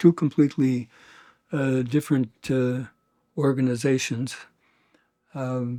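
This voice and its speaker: A man's dark, mellow voice at a fairly slow pace, with fairly even intonation and long, frequent pauses, on a very clean recording with a silent background. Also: medium pitch for a man. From Quebec City, Canada. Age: 70s. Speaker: retired teacher, Irish heritage advocate. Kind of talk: oral history interview. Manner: halting, many fillers and restarts.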